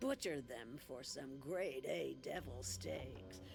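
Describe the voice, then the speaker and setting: A man in a put-on character voice over clear background noise. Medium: video game. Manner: dry, folksy drawl.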